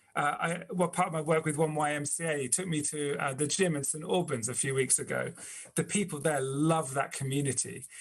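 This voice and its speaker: Somewhat breathy, the speech goes along at a fairly quick pace. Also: man, fairly high pitch for a man. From England (East Anglia), born in Texas. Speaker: community speaker, charity worker. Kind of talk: inspirational talk. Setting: video call. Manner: animated, with frequent hesitations.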